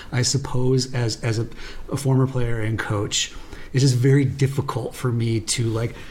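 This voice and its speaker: Over noticeable background noise, a man speaks at a moderate pace and medium pitch in a monotone, flat intonation. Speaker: sports podcast co-host. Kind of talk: casual chat. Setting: in person, same room.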